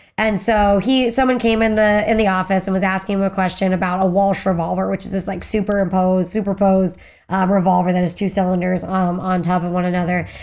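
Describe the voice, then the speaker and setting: A woman talks at a very fast pace with an American accent and hardly any pauses. Her pitch is medium and her intonation is monotone and flat. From western Pennsylvania. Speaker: firearms historian, former museum curator. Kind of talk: podcast interview.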